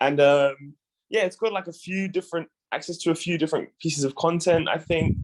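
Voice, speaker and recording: At a fairly quick pace, the voice carries a strong British accent and fairly even intonation. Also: man, high pitch for a man. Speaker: community program member presenting a lead. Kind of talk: casual online meeting discussion. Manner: hesitant, many fillers and repeats.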